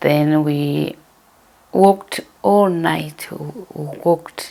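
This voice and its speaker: Very slow speech in a Zimbabwean accent, with noticeable background noise. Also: woman. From Zimbabwe, Masvingo, Gutu rural area. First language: Shona. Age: 60s. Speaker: interviewee telling her life story. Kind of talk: life story interview. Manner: hesitant, with fillers.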